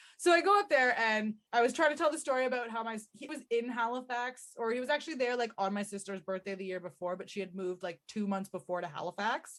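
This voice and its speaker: A woman with a Canadian accent and a fairly high pitch talks at a very fast pace with hardly any pauses, lively intonation and big swings in loudness. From Canada. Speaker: podcast co-host. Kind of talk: casual chat.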